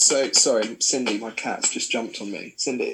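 In a southern English accent, a man speaks at a fairly slow pace. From south coast of England. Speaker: artist. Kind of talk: interview.

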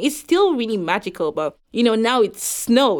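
The speaker talks fairly quickly with lively intonation. The recording is very clean, with a silent background. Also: woman. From Nigeria. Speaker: law student. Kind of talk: interview.

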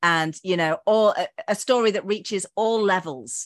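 It is a woman with an unremarkable speaking voice, medium in pitch and lively in intonation. The sound is dry and close with no echo, over a quiet background. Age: 50s. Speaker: podcast host and former drama teacher. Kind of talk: casual interview. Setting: video call.

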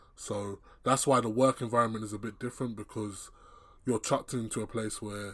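On a very clean recording with a silent background, a man speaks in a fairly low voice with monotone, flat intonation. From England, Nigerian family. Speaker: podcast host. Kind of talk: casual chat.

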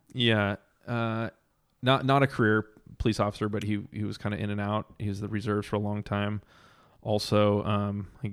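A man with a fairly low pitch and an American accent, fairly quick and monotone with flat intonation, on a very clean recording with a silent background. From Southern California. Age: 30s. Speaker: chef and entrepreneur. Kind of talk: casual chat.

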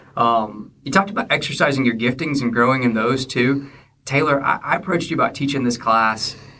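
With very even loudness and ordinary pitch variation, a man with an unremarkable speaking voice talks at a fairly quick pace. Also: medium pitch for a man. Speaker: church minister and podcast host. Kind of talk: casual interview chat.

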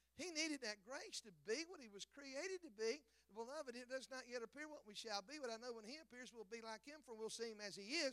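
Raised and projected, a man's extremely high-pitched voice carries an animated tone in a dry, close recording with no echo. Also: big swings in loudness. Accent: Southern US. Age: 50s. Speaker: evangelist. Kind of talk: sermon. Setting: church.

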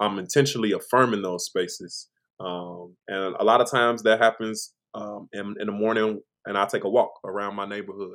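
A man with an American accent uses an ordinary speaking voice at medium pitch and a moderate pace. His intonation is fairly even, his loudness swings widely, and the recording is very clean with a silent background. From Chicago, Illinois. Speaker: singer and vocal producer. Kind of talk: casual interview chat.

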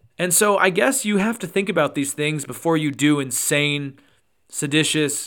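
On a very clean recording with a silent background, a man speaks at a fairly slow pace and fairly high pitch. His tone is animated, bright and sharp, with ordinary pitch variation. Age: 20s. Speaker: political podcast host. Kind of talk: solo commentary. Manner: casual, animated.

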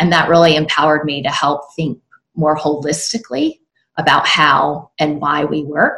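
A woman with a Southern US accent speaks at a very deep, low pitch and a moderate pace. Her tone is bright and sharp, her intonation monotone and flat. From South Carolina. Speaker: author and work consultant. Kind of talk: casual interview chat.

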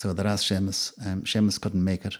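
A fairly low-pitched man with a dark, mellow tone at a fairly quick pace, on a very clean recording with a silent background. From Ireland, County Roscommon. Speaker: music promoter. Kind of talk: interview conversation.

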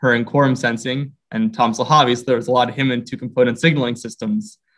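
Over music in the background, the speech comes at a very fast pace with ordinary pitch variation. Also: man. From US Northeast, Philadelphia (Roxborough). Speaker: virology PhD student. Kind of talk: interview. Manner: halting, frequent repetitions.

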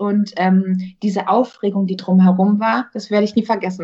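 A woman talks at a moderate pace with a medium pitch. Her voice is somewhat breathy. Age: 20s. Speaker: actress. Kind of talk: casual chat.

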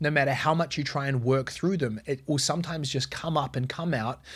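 Speaking with a New Zealand accent, a man talks at a fairly quick pace in a somewhat breathy voice on a very clean recording with a silent background. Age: 30s. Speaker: business coach podcaster. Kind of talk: solo podcast monologue.

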